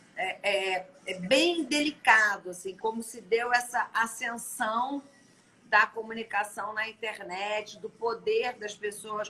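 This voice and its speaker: A woman's fairly high voice, very slow, with ordinary pitch variation and big swings in loudness. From Brazil. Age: 50s. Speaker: live-stream host. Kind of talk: casual interview chat. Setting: live stream.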